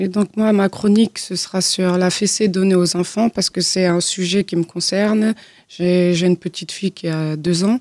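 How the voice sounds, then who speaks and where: A woman with a dark, mellow tone speaks at a medium pitch and fairly slow pace in a monotone, flat way. The sound is dry and close, with no echo. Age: young. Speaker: job-training trainee. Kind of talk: radio interview. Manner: halting.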